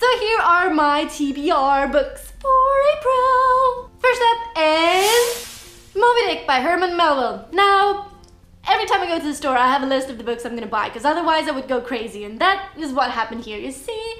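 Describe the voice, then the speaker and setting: Over background music and audible room echo, a woman projects a raised voice at an extremely high pitch, swinging very widely in pitch at a moderate pace. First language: Estonian. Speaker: booktuber. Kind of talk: vlog book review.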